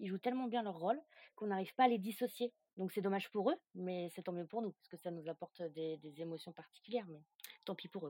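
A woman with a medium-pitched voice and a dark, mellow tone, her pitch rising and falling in an ordinary way. The recording is very clean and dry, close-up with no echo against a silent background. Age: 30s. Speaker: drama fan, social media creator. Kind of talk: casual chat.

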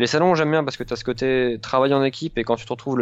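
A man's medium-pitched voice, an ordinary speaking voice, over a quiet background. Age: 20s. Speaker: video game journalist. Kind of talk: casual interview.

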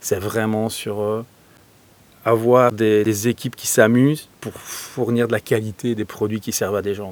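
A man's medium-pitched voice at a fairly slow pace, flat and monotone, with big swings in loudness. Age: 40s. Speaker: agile coach and entrepreneur. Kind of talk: interview.

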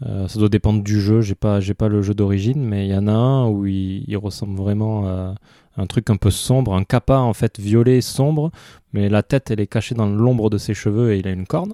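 A fairly low-pitched man with a southwestern French accent, dark, mellow tone, fairly even intonation and moderate pace, in a dry, close sound with no echo. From southwestern France (Pau, Marmande). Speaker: podcast co-host. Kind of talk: casual chat. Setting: remote recording.

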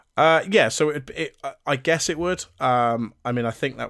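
Someone with a British accent speaks at a moderate pace on a very clean recording with a silent background. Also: man. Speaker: podcast co-host. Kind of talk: casual chat.

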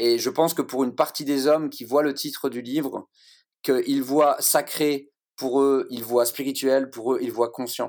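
On a very clean recording with a silent background, a man with a fairly high pitch speaks at a fairly slow pace in monotone, flat intonation. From France, Lorraine-Alsace. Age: 40s. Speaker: guest from men's groups. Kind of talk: group discussion.

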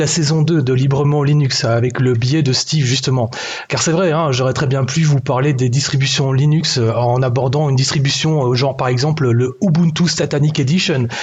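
Over noticeable background noise and audible room echo, a man with a fairly high pitch talks at a moderate pace with ordinary pitch variation, very even loudness and hardly any pauses. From Belgium. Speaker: podcast columnist, YouTuber. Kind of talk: scripted editorial. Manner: animated.

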